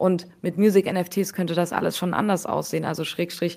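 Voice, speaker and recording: A woman's fairly low voice at a moderate pace, monotone and flat, on a very clean recording with a silent background. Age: 20s. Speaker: NFT investor and fund co-founder. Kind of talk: casual interview.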